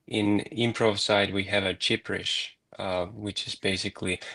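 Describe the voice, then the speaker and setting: Speaking in a Finnish accent at a moderate pace, a man uses a fairly low pitch, a bright, sharp tone and a monotone, flat intonation, recorded dry and close with no echo against a quiet background. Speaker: improv practitioner, guest. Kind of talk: live-streamed discussion. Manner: halting.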